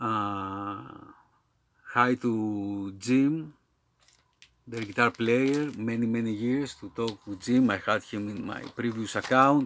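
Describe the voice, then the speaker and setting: Speaking very slowly, a man talks with a Greek accent. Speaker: metal music YouTuber. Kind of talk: casual video monologue. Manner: halting, many fillers.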